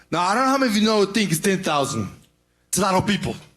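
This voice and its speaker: With music playing in the background, a man speaks at a high pitch with lively intonation and a non-native accent. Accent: foreign. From Serbia. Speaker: property investor. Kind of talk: audience pitch. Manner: halting.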